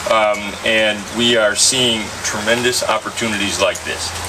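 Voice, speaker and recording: A man's fairly low-pitched voice amid noticeable background noise. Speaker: state agency director. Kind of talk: public speech at ceremony. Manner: loud.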